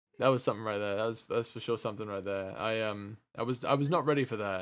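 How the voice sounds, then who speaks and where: Talking at a very fast pace, a man with a British accent keeps his intonation fairly even. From England. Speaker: streamer. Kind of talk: casual chat. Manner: halting.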